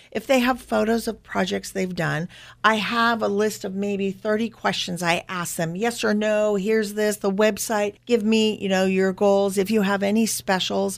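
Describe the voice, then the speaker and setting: On a very clean recording with a silent background, a woman with a Californian accent talks at a moderate pace and medium pitch, in a monotone, flat intonation with hardly any pauses. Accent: Californian American. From Northern California. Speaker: marketing expert. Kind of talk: interview.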